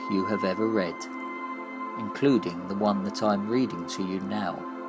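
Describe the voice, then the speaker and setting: Over music in the background, a man speaks at a fairly slow pace in a calm, soothing tone. His fairly low pitch swings very widely. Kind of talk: dark surreal monologue reading, addressing the listener as 'you'. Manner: calm, slow, soothing.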